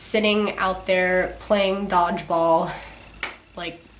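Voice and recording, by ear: There is audible room echo as a woman speaks at a slow pace.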